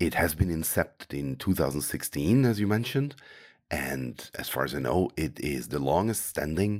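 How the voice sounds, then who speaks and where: Very deep and low, a man's voice shows vocal fry and very wide pitch swings. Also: very clean recording, silent background. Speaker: podcast host. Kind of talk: interview.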